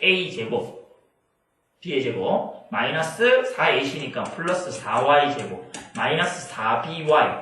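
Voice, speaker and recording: A man's fairly high voice with audible room echo. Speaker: math tutor. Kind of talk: lecture. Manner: fast; casual.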